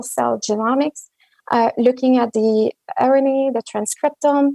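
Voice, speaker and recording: A woman with a French accent, high-pitched, with a dark, mellow tone and fairly even intonation, in a dry, close sound with no echo. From Quebec, Montreal. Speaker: genomics researcher. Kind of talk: conference talk. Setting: virtual meeting.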